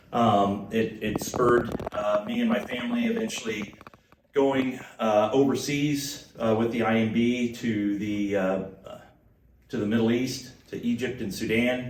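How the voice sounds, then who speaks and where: A man of medium pitch with a Midwestern US accent speaks at a fairly slow pace and fairly even intonation, with noticeable background noise and audible room echo. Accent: US Midwest. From Kansas. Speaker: former missionary. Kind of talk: church talk. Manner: halting.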